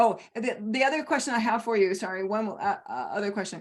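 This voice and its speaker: At a fairly quick pace, a woman speaks with lively intonation and a fairly high pitch. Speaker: coach or practitioner. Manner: fast talker.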